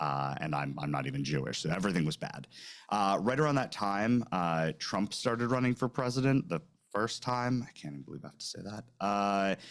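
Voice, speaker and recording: A man talks at a fairly quick pace with a fairly low voice. His pitch swings very widely. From New York. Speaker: recruitment sourcing trainer. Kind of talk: webinar presentation. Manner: fast; casual, snarky.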